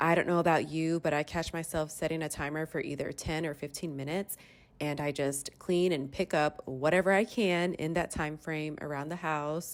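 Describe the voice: A woman's low-pitched voice at a moderate pace, with fairly even intonation.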